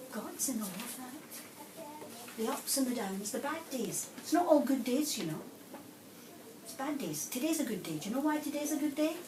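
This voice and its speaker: Amid audible room echo and noticeable background noise, a woman with a Scottish accent speaks at a moderate pace in a high pitch, with very wide pitch swings and big swings in loudness. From Scotland, Glasgow. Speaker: nun and schools inspector. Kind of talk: interview answers to school children. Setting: primary school classroom. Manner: animated.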